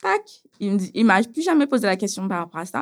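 At a moderate pace and medium pitch, a woman speaks with lively intonation in a very clean recording with a silent background. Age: 30s. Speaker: beautician, abuse survivor. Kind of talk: testimony. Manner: casual, with hesitations.

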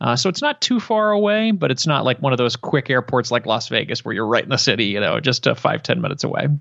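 A man's pitch swings very widely as he speaks at a very fast pace. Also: medium pitch for a man, hardly any pauses. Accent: Midwestern American. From Detroit, Michigan. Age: 30s. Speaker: podcaster. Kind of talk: interview.

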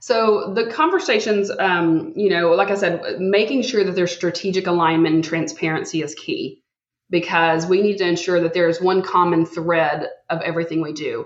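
This woman talks with a Texan accent at a moderate pace. Her pitch varies in an ordinary way. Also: medium pitch for a woman. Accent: Southern US (Texan). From Texas. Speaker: healthcare executive. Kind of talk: casual interview chat.

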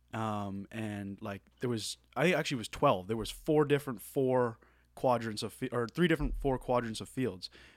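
A man at a medium pitch with ordinary pitch variation and a moderate pace, on a very clean recording with a silent background. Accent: Maritime Canadian. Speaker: college baseball player. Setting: studio.

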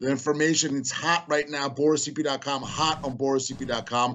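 Fairly high in pitch, a man speaks in an animated tone. He keeps a moderate pace. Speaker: political campaign adviser. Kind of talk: political talk show interview.

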